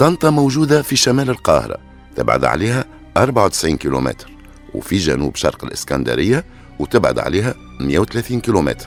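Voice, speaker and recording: A man's fairly low voice with very wide pitch swings at a fairly quick pace, over background music. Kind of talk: true crime storytelling narration. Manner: casual, conversational.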